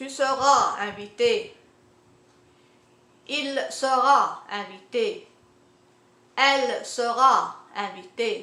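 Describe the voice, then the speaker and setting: Speaking in a raised, projected voice, a woman with a high pitch and bright, sharp tone makes very wide pitch swings and leaves long, frequent pauses amid audible room echo. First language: Arabic (also French). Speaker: language teacher. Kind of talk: tutorial. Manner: halting, many fillers.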